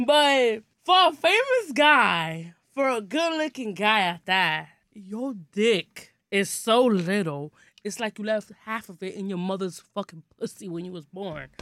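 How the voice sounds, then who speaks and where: At a fairly slow pace, this animated voice with a New York accent swings very widely in pitch and shifts sharply in loudness. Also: woman, medium pitch for a woman. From Brooklyn, New York. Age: 20s. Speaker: podcast guest. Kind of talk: casual chat. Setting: studio.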